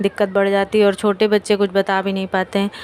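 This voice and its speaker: Noticeable background noise fills the recording. Through it, a woman speaks. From India, Kanpur (Uttar Pradesh). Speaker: family vlogger. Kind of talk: casual vlog talk. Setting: at home, kitchen. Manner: blunt, outspoken.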